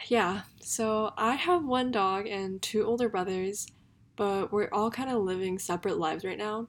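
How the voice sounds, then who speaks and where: With an American accent, a woman speaks at a moderate pace and medium pitch with ordinary pitch variation. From Seattle and Korea. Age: young. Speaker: podcast host. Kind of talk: casual monologue. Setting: home bedroom.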